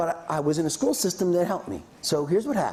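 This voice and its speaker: Delivered at a fairly quick pace with lively intonation, the voice comes through over noticeable background noise. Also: man. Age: 60s. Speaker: business school lecturer. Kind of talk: lecture. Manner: occasional pauses to swap words.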